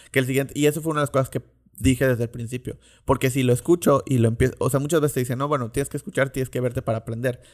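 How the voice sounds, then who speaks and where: On a very clean recording with a silent background, a man speaks at a very fast pace in a medium pitch with fairly even intonation. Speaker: podcast host. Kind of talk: monologue.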